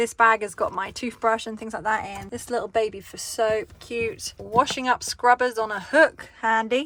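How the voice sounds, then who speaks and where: Cheerful in tone, a woman with an English accent speaks at a fairly high pitch. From England. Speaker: van dweller and DIY builder. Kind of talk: casual home tour to camera. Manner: cheerful, chatty.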